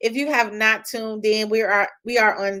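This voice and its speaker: At a fairly slow pace, someone speaks with a Chicago accent in a very clean recording with a silent background. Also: woman. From Chicago, US Midwest. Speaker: publishing company CEO. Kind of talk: live stream talk. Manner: casual, frequent fillers.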